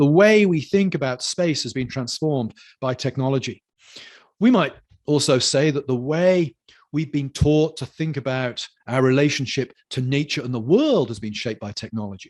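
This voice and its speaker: A man with a British accent speaks at a moderate pace and a fairly high pitch. His pitch varies in an ordinary way over a quiet background. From United Kingdom. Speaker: lecturer on culture and theology. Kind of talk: lecture.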